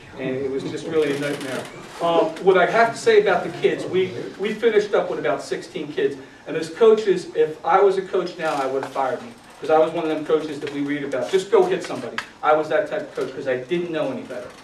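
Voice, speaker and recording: A man with a Philadelphia accent talks very fast in a high voice, his intonation lively and his loudness swinging a lot. Audible room echo and noticeable background noise fill the recording. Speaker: youth football coach, retired Marine. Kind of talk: conference talk. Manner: casual, conversational with fillers.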